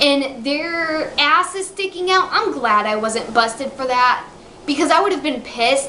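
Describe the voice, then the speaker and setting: A woman uses a raised, projected voice at a high pitch. Noticeable background noise is present. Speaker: video game reviewer. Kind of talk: casual talk to camera. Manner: stuttering.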